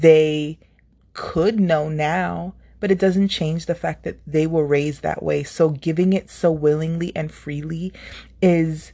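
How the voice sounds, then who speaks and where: Against a quiet background, a woman talks at a fairly slow pace in a dark, mellow tone, her very deep, low pitch held to fairly even intonation. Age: 30s. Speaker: YouTuber. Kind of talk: motivational monologue.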